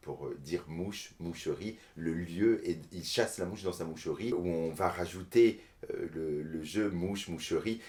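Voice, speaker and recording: A man speaks in a very deep, low pitch at a fairly slow pace. His intonation is fairly even. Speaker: storyteller. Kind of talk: interview. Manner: halting, many hesitations.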